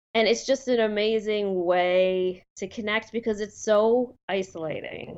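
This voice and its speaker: A woman talks in a normal speaking voice at a fairly slow pace. Her intonation is fairly even, and she leaves hardly any pauses. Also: medium pitch for a woman. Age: 40s. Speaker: guest with lupus. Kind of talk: casual interview.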